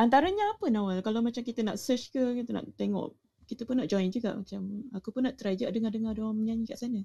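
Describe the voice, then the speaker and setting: A woman's very fast, somewhat breathy voice, fairly high in pitch, with a dark, mellow tone. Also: ordinary pitch variation. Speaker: room moderator. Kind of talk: casual chat. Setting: audio chat room. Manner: animated.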